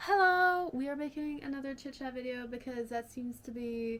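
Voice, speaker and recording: This woman's intonation rises and falls in a lively way. Her pace is moderate. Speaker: YouTuber. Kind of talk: casual chat.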